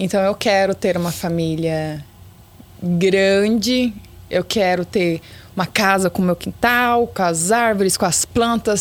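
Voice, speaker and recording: A woman speaks at a very slow pace, with ordinary pitch variation and very even loudness. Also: medium pitch for a woman. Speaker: former beauty pageant contestant. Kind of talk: casual chat.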